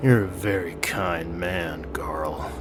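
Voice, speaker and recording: A man's put-on character voice, very deep and low, over loud background noise. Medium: read story.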